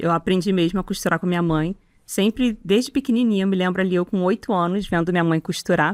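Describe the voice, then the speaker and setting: Speaking at a fairly quick pace with a Rio de Janeiro accent, a woman's voice carries ordinary pitch variation and very even loudness in a dry, close recording that is very clean, with no echo and a silent background. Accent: carioca (Rio de Janeiro). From Rio de Janeiro, Brazil. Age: 40s. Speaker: sewing teacher and content creator. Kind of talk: interview.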